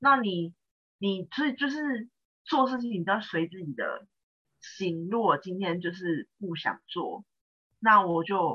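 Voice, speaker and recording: A woman speaks very slowly at a medium pitch, leaving long, frequent pauses. Her pitch swings very widely. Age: 20s. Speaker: freelancer. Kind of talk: casual advice conversation. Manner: halting, many fillers.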